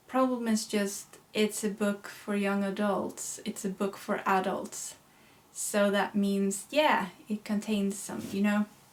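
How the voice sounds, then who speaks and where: A woman talks very slowly in a monotone, flat intonation as noticeable background noise carries on. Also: medium pitch for a woman. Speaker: YouTuber and writer. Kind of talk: casual vlog talk.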